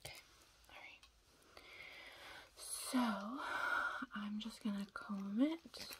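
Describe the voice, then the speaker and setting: Against loud background noise, a woman speaks at a very slow pace with long, frequent pauses. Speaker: hairstylist in a roleplay. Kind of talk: ASMR hairdresser roleplay, soft talking to camera. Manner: soft-spoken, calm. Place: home room. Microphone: phone near.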